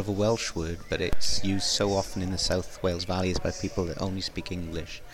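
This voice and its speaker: A man's moderately paced speech is accompanied by background music. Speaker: curator of spoken English. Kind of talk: interview.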